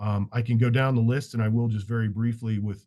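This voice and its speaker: Against a quiet background, a man speaks fairly quickly in a somewhat breathy voice with fairly even intonation. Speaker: leader of a professional architects' association. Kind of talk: virtual town hall presentation. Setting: video call. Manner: fast.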